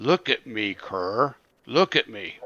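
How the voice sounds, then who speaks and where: A man growls in a put-on character voice. It comes out raspy. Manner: menacing, commanding.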